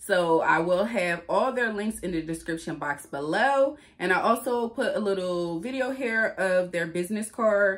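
A woman speaks at a fairly slow pace with ordinary pitch variation. Her background is quiet. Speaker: food vlogger. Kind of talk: casual vlog chat. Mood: relaxed, friendly. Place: home room. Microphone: phone near.

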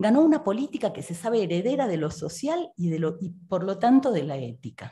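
In an Argentine accent, a woman speaks at a moderate pace with a dark, mellow, somewhat breathy tone. Her pitch swings very widely. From Argentina. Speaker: philosophy researcher and professor; professor. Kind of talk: reading a prepared text. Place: hall. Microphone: podium.

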